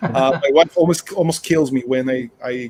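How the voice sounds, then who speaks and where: Noticeable background noise lies under a man speaking at a fairly high pitch. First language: Portuguese. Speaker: board game channel host. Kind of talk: interview.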